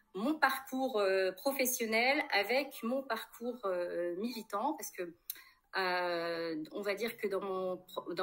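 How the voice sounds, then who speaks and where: In a normal speaking voice, a woman talks with a fairly high pitch and lively intonation. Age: 40s. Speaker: politician, candidate. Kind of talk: interview. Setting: livestream.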